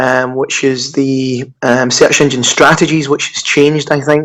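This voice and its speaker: The speaker is a man with a Scottish accent. He goes at a moderate pace. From Scotland. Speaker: digital marketer. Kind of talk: podcast interview. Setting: Skype call.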